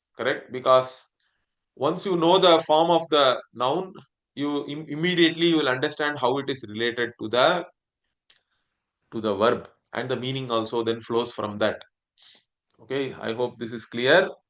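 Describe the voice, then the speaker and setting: A man with a Tamil accent speaks at a moderate pace and medium pitch. Long, frequent pauses break up his speech. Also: ordinary pitch variation. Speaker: Sanskrit teacher. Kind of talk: lecture.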